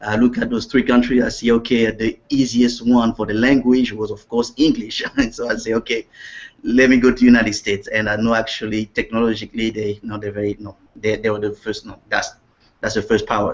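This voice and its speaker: Speaking fairly quickly, a man with a Central African accent uses a medium pitch. His intonation is monotone and flat. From Congo, Central Africa. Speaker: network marketing distributor. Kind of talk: interview. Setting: video call.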